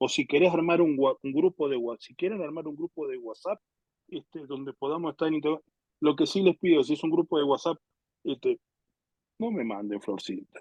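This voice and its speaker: A man with an ordinary speaking voice talks at a moderate pace in a fairly high pitch, his loudness swinging widely while his pitch varies normally, in a dry, close recording with no echo. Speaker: pastor teaching a Bible class. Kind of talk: lecture.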